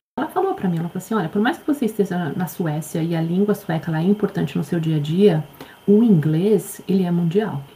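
A woman speaks at a fairly quick pace with a fairly low pitch and ordinary pitch variation. Noticeable background noise is present. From Brazil. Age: 40s. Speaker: life coach. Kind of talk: interview.

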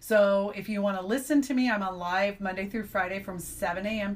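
A woman's medium-pitched, somewhat breathy voice at a fairly quick pace. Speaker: radio DJ and station owner. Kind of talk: interview.

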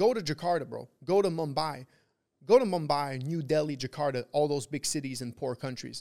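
In a Quebec accent, a man with a fairly high pitch speaks at a moderate pace with lively intonation. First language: French. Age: 20s. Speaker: trader. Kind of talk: casual interview. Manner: halting.

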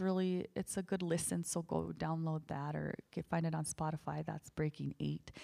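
A woman with a rural northern US accent, an animated tone and a moderate pace. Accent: noticeable rural northern US. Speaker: singer-songwriter and podcast host. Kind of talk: casual chat with husband, plus column reading. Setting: home, recording with husband. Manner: animated, laughs often.

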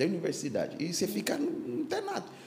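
A man's voice carries audible room echo. There is noticeable background noise as well. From Ghana, Accra. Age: 60s. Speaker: pastor. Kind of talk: casual chat. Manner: halting.

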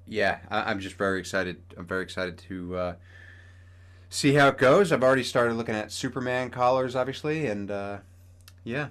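Here a man speaks in a plain, everyday voice at medium pitch, with ordinary pitch variation. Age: 30s. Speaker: podcast host and cosplayer. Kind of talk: casual chat.

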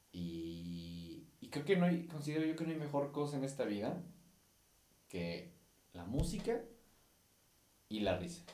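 A man with a Mexican accent, fairly high-pitched, with very wide pitch swings, a fairly slow pace, long and frequent pauses, and audible room echo. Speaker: podcast host and musician. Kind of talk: casual monologue. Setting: recording on camera. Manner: halting.

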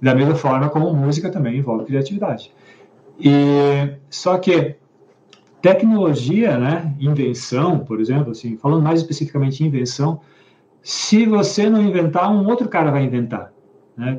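Somewhat breathy and dark, mellow in tone, a man with a fairly high pitch talks at a moderate pace with lively intonation. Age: 50s. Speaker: book club host, musician and tech worker. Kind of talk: casual chat. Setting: live stream. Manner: hesitant, repetitive.

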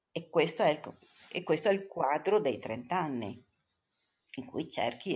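Speech moves at a very slow pace. The pitch swings very widely. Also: woman. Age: 60s. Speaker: mother of the co-host. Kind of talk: casual interview.

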